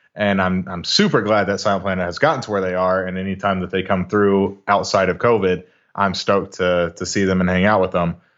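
The speaker has an American accent and talks fairly quickly. There are hardly any pauses, and the intonation is fairly even. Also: man, very deep, low pitch for a man. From Texas, Arlington (Dallas-Fort Worth). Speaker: metal musician, vocalist. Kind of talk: casual interview chat.

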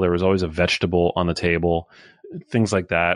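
A man speaks at a fairly quick pace with an American accent. The background is quiet. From New York City, Manhattan. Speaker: health author and journalist. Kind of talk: interview.

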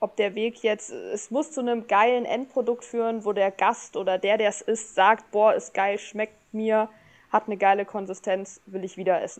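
This woman has an unremarkable speaking voice, pitched fairly high, with fairly even intonation and a fairly slow pace. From Germany, northern Hesse (Rotenburg). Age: 20s. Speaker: trained chef and food influencer. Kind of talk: casual interview. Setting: online voice channel.

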